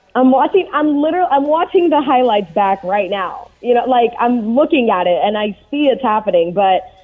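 Speaking at a moderate pace with hardly any pauses, a woman uses a high pitch and very wide pitch swings over noticeable background noise. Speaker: sports reporter. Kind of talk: casual sports talk. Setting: phone call.

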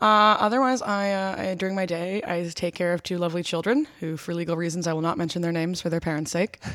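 With an American accent, a woman talks very fast and fairly low for a woman, hardly pausing, her pitch varying in an ordinary way. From Boston, Massachusetts. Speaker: film producer. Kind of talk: casual chat.

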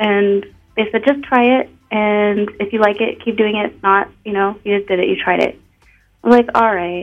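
An ordinary speaking voice from a woman, medium in pitch, with fairly even intonation and a moderate pace. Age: 20s. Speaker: adult film performer. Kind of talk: radio interview.

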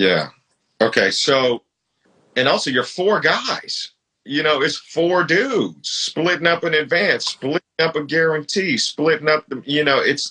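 A man speaks slowly-ish, at a fairly slow pace, with a fairly high pitch and a bright, sharp tone. Vocal fry and lively intonation mark his delivery. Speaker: podcast host and rapper. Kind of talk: casual interview. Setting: Instagram live. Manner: animated.

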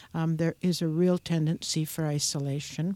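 Her voice sits fairly low for a woman, with monotone, flat intonation. The woman speaks at a fairly slow pace in a dry, close sound with no echo. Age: 80s+. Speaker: seniors' advocate. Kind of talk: radio interview.

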